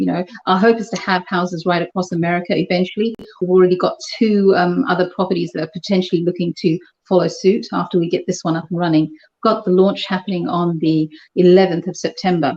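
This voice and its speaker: A woman in a British accent, very fast pace and fairly even intonation. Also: medium pitch for a woman. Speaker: charity housing organizer. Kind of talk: interview.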